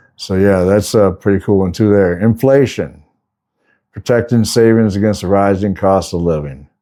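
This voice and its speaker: Over a silent background in a very clean recording, a man talks at a fairly quick pace with a very deep, low pitch, a relaxed tone and fairly even intonation. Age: 60s. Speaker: semi-retired flooring contractor and vlogger. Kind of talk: casual talk-to-camera advice. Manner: relaxed, conversational with fillers.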